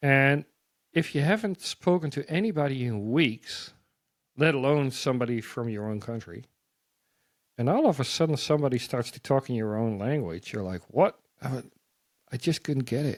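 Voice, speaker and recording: Pausing long and often, a man with a Dutch accent speaks at medium pitch with lively intonation. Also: moderate pace. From Netherlands. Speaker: missionary. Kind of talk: testimony. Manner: animated.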